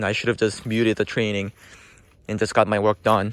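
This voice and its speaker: A man speaks with a non-native accent and monotone, flat intonation. The sound is dry and close with no echo. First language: not English. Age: middle-aged. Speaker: accountant vlogger. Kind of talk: casual vlog monologue. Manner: hesitant, many fillers.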